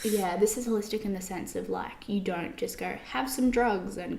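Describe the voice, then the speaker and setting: A woman with an Australian accent, fairly high in pitch with ordinary pitch variation, at a moderate pace, amid noticeable background noise and audible room echo. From Australia, Brisbane. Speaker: podcast co-host. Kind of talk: casual chat. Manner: rising intonation at sentence ends.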